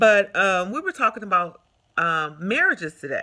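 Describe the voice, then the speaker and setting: A woman speaks at a moderate pace and medium pitch, her tone animated, bright and sharp. Her pitch swings very widely. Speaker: vlogger giving relationship advice. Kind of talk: casual vlog monologue. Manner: loud.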